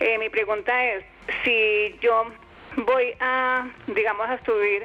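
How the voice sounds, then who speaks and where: Music plays in the background. A woman talks in a fairly high pitch with fairly even intonation. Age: 60s. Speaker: caller. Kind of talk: call-in question. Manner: halting.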